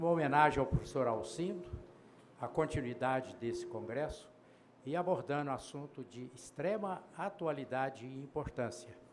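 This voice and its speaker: With audible room echo, a man talks at a moderate pace in a medium pitch and lively intonation. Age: 80s+. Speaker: panel moderator, physician. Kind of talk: conference panel introduction. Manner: halting, with filler hesitations.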